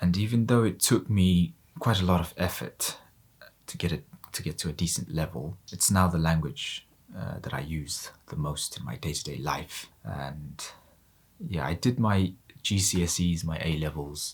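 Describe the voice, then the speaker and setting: In a Mongolian accent, the speaker talks at a moderate pace with ordinary pitch variation and vocal fry. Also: man, very deep, low pitch for a man. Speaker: polyglot youtuber. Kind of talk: multilingual vlog monologue.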